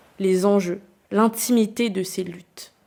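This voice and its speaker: Her tone is dark and mellow, at a medium pitch for a woman. She speaks at a fairly slow pace with fairly even intonation. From New Caledonia (Nouméa). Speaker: podcast host. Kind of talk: scripted narration.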